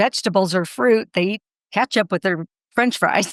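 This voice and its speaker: The sound is dry and close, with no echo, as a woman speaks at a moderate pace in an unremarkable speaking voice. Her pitch is medium, with ordinary variation. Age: 60s. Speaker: fitness and nutrition expert. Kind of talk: podcast interview.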